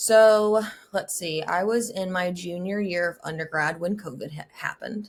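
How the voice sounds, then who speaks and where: A plain, everyday voice from a woman, medium in pitch, with ordinary pitch variation. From US South. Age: 20s. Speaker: mental health advocate and graduate student. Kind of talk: podcast interview. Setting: video call.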